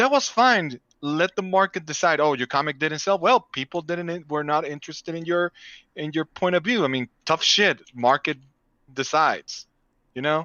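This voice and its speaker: A man with a Spanish accent, at a fairly high pitch with ordinary pitch variation and a moderate pace. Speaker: comic artist. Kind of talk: casual chat.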